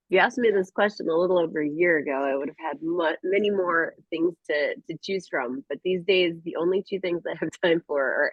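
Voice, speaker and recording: This woman has a fairly low pitch and ordinary pitch variation, a plain, everyday voice. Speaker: sales trainee. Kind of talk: casual chat.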